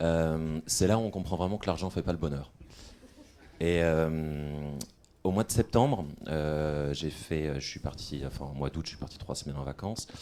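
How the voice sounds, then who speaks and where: Speaking at a moderate pace, a man uses a very deep, low voice with a dark, mellow tone. His pitch varies an ordinary amount, and he leaves long, frequent pauses. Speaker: former B2B sales caller, conference speaker. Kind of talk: short talk at a conference.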